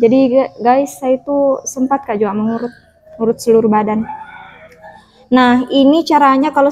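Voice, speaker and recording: Delivery comes at a moderate pace. The intonation stays fairly even. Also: woman. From Central Sulawesi, Indonesia. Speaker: vlogger sharing health experience. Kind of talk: casual vlog talk, product show-and-tell. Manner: hesitant with many fillers.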